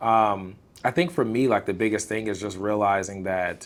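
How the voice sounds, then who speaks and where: A loud man with an American accent speaks at a fairly quick pace and a fairly low pitch. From Illinois, US Midwest. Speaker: content creator. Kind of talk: casual interview. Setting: live stream. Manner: animated.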